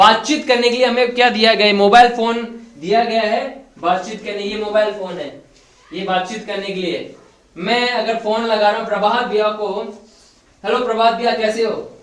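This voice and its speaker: Over noticeable background noise and audible room echo, a man with a high pitch speaks with fairly even intonation. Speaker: preacher. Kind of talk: sermon. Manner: interactive, questioning the congregation.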